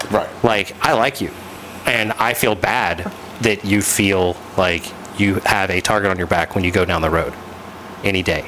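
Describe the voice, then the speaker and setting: Amid noticeable background noise, a man with a fairly low pitch speaks with fairly even intonation, very even loudness and long, frequent pauses. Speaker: podcast host. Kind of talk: casual chat.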